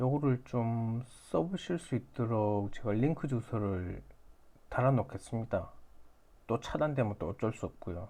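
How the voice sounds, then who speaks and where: Very slowly, a man speaks at a medium pitch in a dark, mellow tone. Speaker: stock beginner YouTuber, app maker. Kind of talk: tutorial. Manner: halting, self-correcting.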